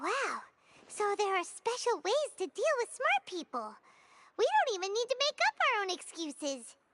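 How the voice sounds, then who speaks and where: Over music in the background, a squeaky put-on character voice at an extremely high pitch moves at a moderate pace. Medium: video game. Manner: casual, excitable.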